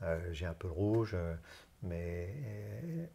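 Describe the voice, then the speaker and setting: Very deep and low, a man's somewhat breathy voice shows ordinary pitch variation on a very clean recording with a silent background. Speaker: HR consultant and LGBT+ business leader. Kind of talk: interview. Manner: halting, many hesitations.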